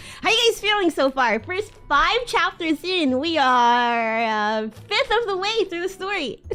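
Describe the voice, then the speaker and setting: Over background music, a woman projects a raised voice at an extremely high pitch, swinging very widely in pitch at a very slow pace. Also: big swings in loudness. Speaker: VTuber streamer. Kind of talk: casual chatty talk to stream audience.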